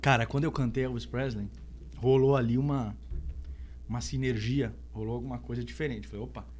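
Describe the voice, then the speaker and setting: A man speaks with long, frequent pauses. Audible room echo surrounds his voice. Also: fairly quick pace. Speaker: singer-songwriter. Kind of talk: podcast interview.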